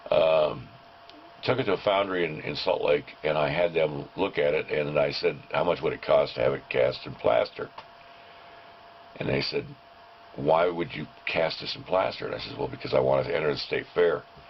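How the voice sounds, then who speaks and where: Noticeable background noise runs under a man's voice. He talks at a moderate pace with long, frequent pauses. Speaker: sculptor. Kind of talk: casual talk to camera. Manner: hesitant, rambling.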